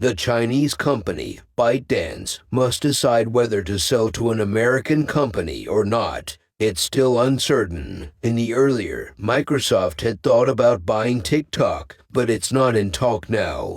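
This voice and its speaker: A man's medium-pitched voice with vocal fry, at a fairly slow pace and with ordinary pitch variation. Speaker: realtor and investing commentator. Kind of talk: casual talk to camera about stocks. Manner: unscripted, some stuttering.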